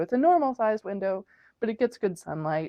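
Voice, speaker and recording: A loud woman's voice with very wide pitch swings. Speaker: vlogger. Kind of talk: casual vlog talk. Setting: at home, at night. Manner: rambling, many fillers.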